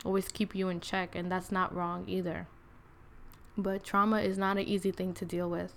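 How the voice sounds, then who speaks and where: With an American accent, a woman speaks slowly, at a fairly slow pace, in a medium pitch with monotone, flat intonation. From New York City, Queens. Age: 20s. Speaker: podcast host. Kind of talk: personal storytelling monologue. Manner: casual, filler-heavy with many 'like's.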